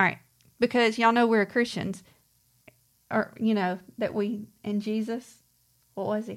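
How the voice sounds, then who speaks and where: On a very clean recording with a silent background, a woman with a Mississippi accent talks at a fairly slow pace and a fairly high pitch. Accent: US Southern (Mississippi). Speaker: co-host of woodworking channel. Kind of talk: casual livestream chat.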